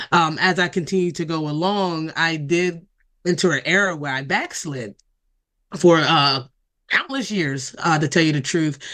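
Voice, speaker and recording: Bright, sharp tone in an American accent, at a fairly slow pace, against a quiet background. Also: woman. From Delaware, US. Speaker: ministry co-founder and author. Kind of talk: interview.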